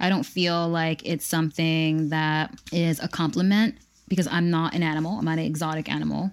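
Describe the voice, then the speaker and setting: A woman with an unremarkable speaking voice talks at a fairly low pitch and a fairly quick pace, with fairly even intonation and very even loudness. The recording is very clean, with a silent background. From Pennsylvania, US. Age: 30s. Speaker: online vintage shop owner. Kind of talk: casual chat.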